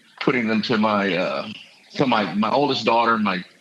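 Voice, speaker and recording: A man's medium-pitched voice with an American accent and fairly even intonation, over noticeable background noise. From Texas. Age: 60s. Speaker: congressional candidate. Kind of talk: interview. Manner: halting, with many fillers and repeats.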